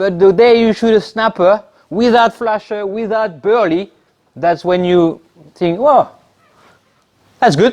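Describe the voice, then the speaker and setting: This man speaks at a fairly slow pace in a high voice, with ordinary pitch variation and long, frequent pauses. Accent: French. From France. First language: French. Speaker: spearfisherman. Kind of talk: club talk. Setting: club meeting.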